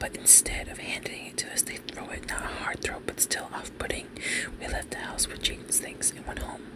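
Someone soft-spoken talks at a fairly quick pace over loud background noise. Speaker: content creator. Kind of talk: reading a forum story aloud. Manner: soft-spoken ASMR reading voice. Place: home room.

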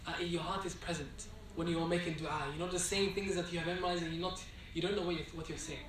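A man talks fast at a fairly high pitch with fairly even intonation. Audible room echo and clear background noise are present.

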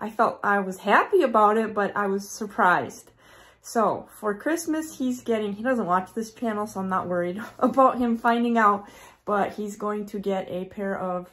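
With ordinary pitch variation, a woman's speech moves at a moderate pace. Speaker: homesteading vlogger. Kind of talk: casual vlog chat. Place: home room. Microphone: phone near.

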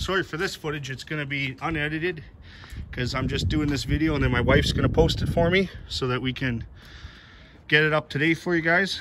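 The man talks at a fairly quick pace. Noticeable background noise can be heard. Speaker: car hobbyist vlogger. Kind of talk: casual vlog chat. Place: street. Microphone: phone near.

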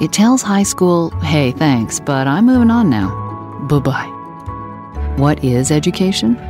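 Speech from a woman comes very slowly. Behind her, music is playing. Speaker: voice actor. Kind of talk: educational narration.

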